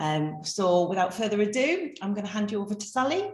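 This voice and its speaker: A woman with a North East England accent, medium pitch, lively intonation and a moderate pace. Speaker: webinar host, business consultant. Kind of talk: webinar introduction. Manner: hesitant, many fillers.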